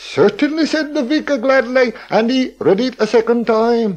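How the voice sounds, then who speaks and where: A man speaks at an extremely high pitch. His pace is fairly slow. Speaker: local historian. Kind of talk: radio talk, storytelling. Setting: radio broadcast. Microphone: old recording.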